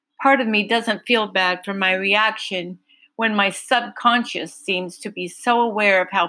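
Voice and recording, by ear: A natural voice reading aloud, the background quiet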